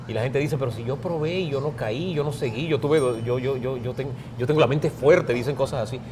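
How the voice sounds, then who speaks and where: Very fast male speech at medium pitch in a Panamanian accent, with audible room echo and noticeable background noise. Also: ordinary pitch variation. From Panama, Chiriquí, raised in San Miguelito area. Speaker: journalist and media trainer. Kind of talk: casual interview chat. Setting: café.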